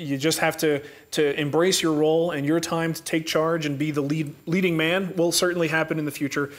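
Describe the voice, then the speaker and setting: In an American accent, the voice speaks at a moderate pace over noticeable background noise. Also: man. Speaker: woodworking show host. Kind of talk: live Q&A chat. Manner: calm.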